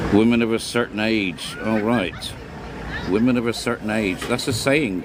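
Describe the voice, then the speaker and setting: Against noticeable background noise, a man speaks at a medium pitch and a moderate pace with fairly even intonation. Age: 60s. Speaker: livestream host. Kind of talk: casual chat.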